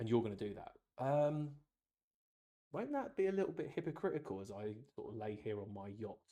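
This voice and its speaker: A man with an English accent speaks at medium pitch in a dark, mellow tone, his intonation lively. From England. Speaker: YouTuber, film reviewer. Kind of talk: casual rant monologue. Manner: animated.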